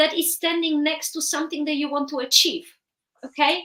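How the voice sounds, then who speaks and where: A woman speaks in a raised, projected voice with a Polish accent. Her pitch sits high and her tone is bright and sharp. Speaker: therapist and author. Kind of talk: interview.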